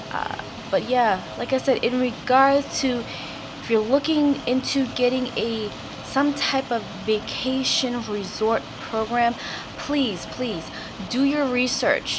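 A high-pitched woman at a very slow pace, with fairly even intonation, over noticeable background noise. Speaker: vlogger giving a resort room tour. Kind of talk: casual video tour. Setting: hotel room and balcony.

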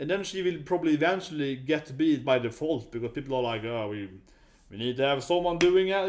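Speaking at a very fast pace, a man talks with a Swedish accent. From Sweden. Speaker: YouTuber, user researcher; YouTuber. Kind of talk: casual video commentary. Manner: halting, many fillers. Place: home room. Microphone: webcam.

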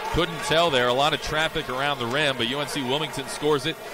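A man's fairly high voice sounds against noticeable background noise. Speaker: play-by-play announcer. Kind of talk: live sports commentary. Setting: arena broadcast. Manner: rapid, fluent, clipped play-by-play delivery.

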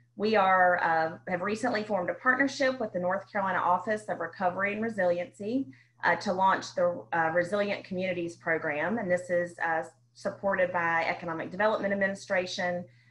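This woman's pitch rises and falls in an ordinary way. She moves along at a fairly quick pace. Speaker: nonprofit staff and webinar moderator. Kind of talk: webinar moderation. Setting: online webinar. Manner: frequent filler words. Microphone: video call.

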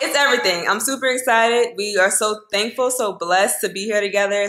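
Her intonation remains fairly even. The woman delivers her words at a very fast pace. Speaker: lifestyle vlogger. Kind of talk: casual vlog chat. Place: kitchen. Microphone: phone near.

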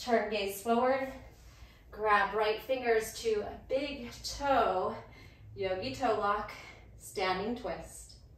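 Speaking very slowly with long, frequent pauses, a woman keeps a fairly even intonation while room echo is audible. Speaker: yoga instructor. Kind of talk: guided yoga class cues. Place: garage.

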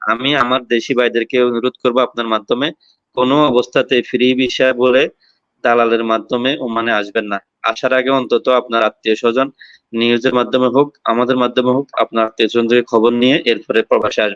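A man speaks at medium pitch in a monotone, flat intonation with very even loudness. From Bangladesh. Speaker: migrant worker. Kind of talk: live talk show call-in.

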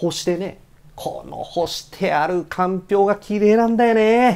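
A man speaking at a moderate pace. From Tochigi, Japan. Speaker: announcer. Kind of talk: comic mock commentary. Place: studio. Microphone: lapel.

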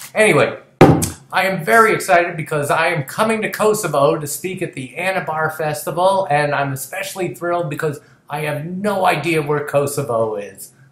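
A man with an American accent, fairly high-pitched, at a moderate pace with ordinary pitch variation, and audible room echo. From United States. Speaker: TV comedy writer and producer. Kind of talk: comedic promo talk to camera. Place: home room. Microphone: webcam.

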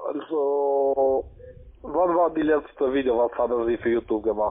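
A man speaks at a fairly high pitch and a fairly slow pace, with ordinary pitch variation and very even loudness. Long, frequent pauses break up his words, and the background is quiet. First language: not German (speaking German). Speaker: scam call center agent. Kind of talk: casual chat. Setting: phone call. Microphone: phone line.

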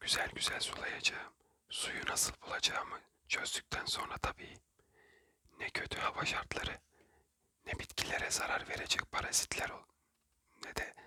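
Someone whispers at a moderate pace. Long, frequent pauses break up the speech. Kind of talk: whispered ASMR book reading for sleep. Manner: whispered, soft, calming.

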